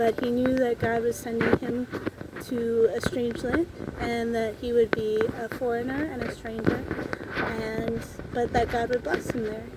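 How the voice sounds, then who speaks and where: A woman with an American accent, fairly high-pitched, at a fairly slow pace, over noticeable background noise. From Minnesota. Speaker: book vlogger. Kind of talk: casual faith reflection. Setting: outdoors under a tree. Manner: halting, self-correcting.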